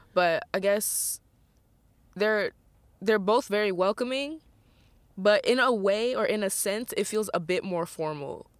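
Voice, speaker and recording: A woman speaks in an American accent at a fairly slow pace, with long, frequent pauses. Her pitch is fairly high, with ordinary variation. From mixed: US military bases (West Coast) and Japan. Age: 20s. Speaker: dancer and performer. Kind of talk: casual chat. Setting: in a parked van.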